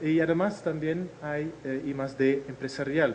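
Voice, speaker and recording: The speech comes at a fairly slow pace amid noticeable background noise and audible room echo. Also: man. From Netherlands. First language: Dutch (speaking Spanish). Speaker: agricultural innovation researcher. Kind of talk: lecture. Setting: video conference. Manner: hesitant, frequent fillers.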